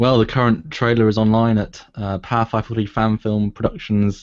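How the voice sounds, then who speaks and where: A man with a British accent speaks against a quiet background. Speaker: filmmaker. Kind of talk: casual chat. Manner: fast.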